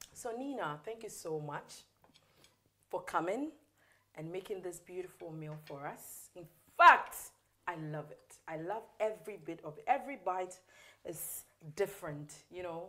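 Speaking with a Ghanaian accent at a moderate pace, the voice has a bright, sharp tone, lively intonation, big swings in loudness, and long, frequent pauses. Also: woman. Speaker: cooking show host. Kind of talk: cooking show hosting, casual chat. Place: studio. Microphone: lapel.

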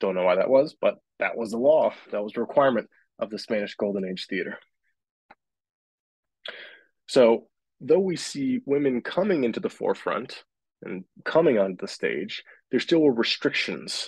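A man speaks with long, frequent pauses. The sound is dry with no echo, and the background is quiet. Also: moderate pace. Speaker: theatre teacher. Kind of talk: lecture. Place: home room. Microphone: webcam.

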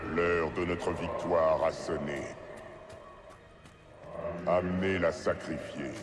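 A booming, menacing put-on character voice at a fairly slow pace, with long, frequent pauses and clear background noise. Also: man. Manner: menacing, triumphant.

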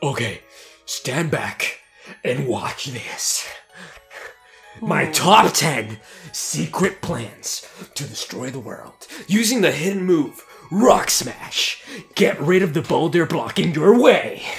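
Faint music plays in the background as a man in a high-pitched, put-on character voice speaks at a very slow pace. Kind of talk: comic overacting of game dialogue. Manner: hyped, boastful.

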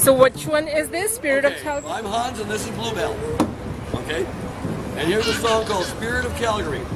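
Loud background noise fills the clip. Through it, a man talks at a very fast pace. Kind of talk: brief spoken introduction between songs. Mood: cheerful, upbeat. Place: street.

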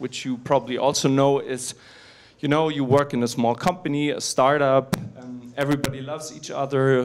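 At a moderate speed, a man delivers his words. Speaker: conference speaker. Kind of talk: conference talk. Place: hall. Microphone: handheld.

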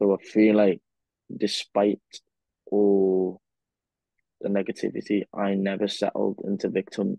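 Over a quiet background with dry, echo-free sound, a man speaks fairly slowly in a fairly low, dark, mellow voice, monotone and flat, with long, frequent pauses. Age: 20s. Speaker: physiotherapist and podcast co-host. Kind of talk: casual chat. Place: home room. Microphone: earbuds.

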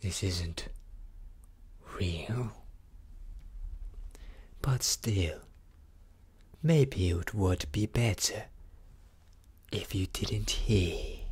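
In a put-on character voice, the speaker growls softly at a low pitch, moving at a very slow pace with long, frequent pauses, and is soft-spoken throughout. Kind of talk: ASMR roleplay.

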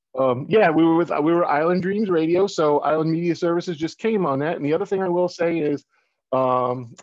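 Speaking at a fairly quick pace, a man with a high voice and ordinary pitch variation is recorded with a dry sound and no echo. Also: quiet background. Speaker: guest. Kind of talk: interview answer. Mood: friendly, relaxed. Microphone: video call.

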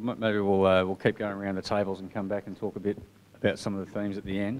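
A man's fairly low-pitched voice over light background noise. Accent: Australian. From Australia. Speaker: sports association committee chair; session facilitator. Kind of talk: meeting facilitation. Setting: meeting room with audience. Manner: rambling. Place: meeting room.

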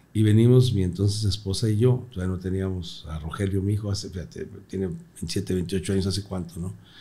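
A man's fairly low, dark and mellow voice, somewhat breathy, with ordinary pitch variation and hardly any pauses. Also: fairly quick pace. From Mexico, Torreón, Coahuila; Coahuila, Mexico. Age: 60s. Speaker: comedian. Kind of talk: casual interview chat. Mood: relaxed, amused storytelling. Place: studio. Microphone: studio mic.

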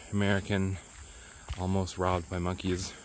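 The sound is dry, with no echo. Light background noise sits underneath. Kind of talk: casual vlog chat. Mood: joking, self-mocking. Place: forest. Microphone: phone near.

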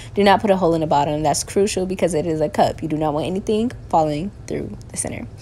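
A woman's voice shows big swings in loudness. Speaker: home baker vlogger. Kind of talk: tutorial. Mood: playful, relaxed. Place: kitchen. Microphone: camera far.

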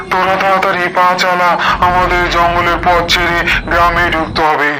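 Loud background noise plays behind a man doing a cartoonish character voice at a high pitch. He keeps a moderate pace and very even loudness.

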